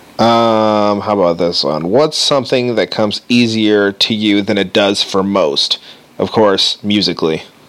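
The speech comes at a fairly slow pace with ordinary pitch variation, and there is noticeable background noise. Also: man, fairly low pitch for a man. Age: 30s. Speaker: podcast co-host, guitarist. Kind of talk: casual chat.

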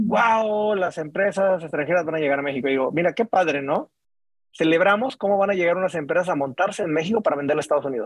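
A man talks very fast in a high voice. His pitch moves in an ordinary way. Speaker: podcast host. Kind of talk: interview. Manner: casual, animated.

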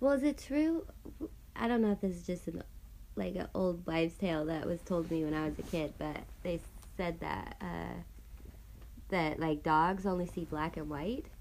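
A woman speaks at a moderate pace with long, frequent pauses. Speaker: podcast co-host. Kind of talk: casual chat. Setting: on a porch. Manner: careful, plain enunciation.

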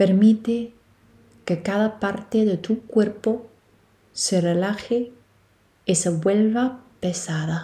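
At a very slow pace with long, frequent pauses, a woman speaks at medium pitch with fairly even intonation. Her tone is gentle, soothing, dark, and mellow, and somewhat breathy. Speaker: yoga nidra guide. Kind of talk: guided meditation. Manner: slow, soothing, calm; gentle, hushed, long pauses between cues.

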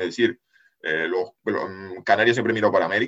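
A man with a bright, sharp tone and medium pitch talks at a fairly quick pace. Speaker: geopolitics analyst and writer. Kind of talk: casual interview.

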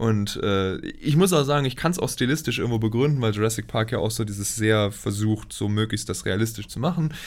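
This man talks at a fairly quick pace with hardly any pauses. His pitch sits in the medium range. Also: ordinary pitch variation. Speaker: podcast co-host. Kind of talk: casual chat. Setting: recording in the same room, single shared mic.

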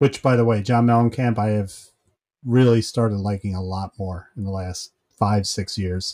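The voice has a dark, mellow tone and fairly even intonation at a moderate pace. The recording is very clean, with a silent background. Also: man, fairly low pitch for a man. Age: 50s. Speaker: podcast co-host. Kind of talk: casual chat.

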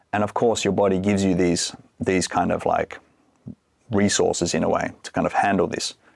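With an Australian accent, a man speaks at a fairly low pitch and fairly even intonation, the sound dry and close with no echo. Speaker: breathwork and cold exposure coach. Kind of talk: podcast interview.

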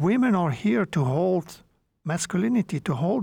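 In a very clean recording with a silent background, a high-pitched man speaks with a Flemish accent. His intonation is lively and his pace moderate. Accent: Belgian (Flemish) English. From Belgium. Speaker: entrepreneur and men's work facilitator. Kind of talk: interview.

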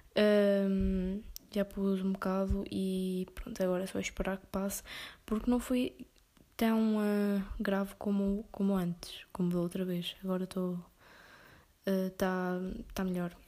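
Speaking at a fairly slow pace with long, frequent pauses, a woman with a European Portuguese accent has a medium-pitched voice and a dark, mellow tone. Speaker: podcaster. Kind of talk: casual monologue.

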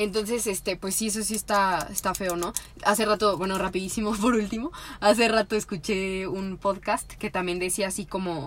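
A normal speaking voice, moderately paced, its intonation fairly even. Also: woman, medium pitch for a woman. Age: 20s. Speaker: podcast co-host. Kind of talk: casual chat.

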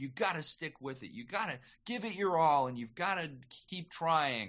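A man speaks at a moderate pace. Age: 30s. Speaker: voice actor. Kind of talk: casual chat.

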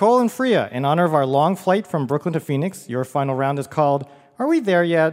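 A man speaks in an unremarkable speaking voice, pitched fairly high. His pace is fairly quick and his intonation lively. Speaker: puzzle guru, quizmaster. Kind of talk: quiz game judging. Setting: stage with audience at a theater.

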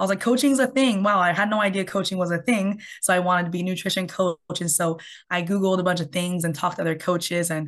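Talking at a very fast pace, a woman speaks at medium pitch with a Canadian accent. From Canada. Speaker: health coach. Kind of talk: interview.

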